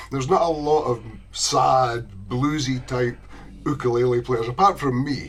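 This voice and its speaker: A man speaks with a Scottish accent. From Scotland. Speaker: ukulele enthusiast. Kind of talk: casual chat.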